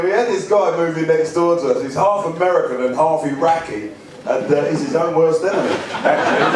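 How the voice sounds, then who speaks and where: A man's high pitch at a fairly quick pace, with noticeable background noise. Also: lively intonation. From England. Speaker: stand-up comedian and after-dinner speaker. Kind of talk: stand-up comedy set to a live audience.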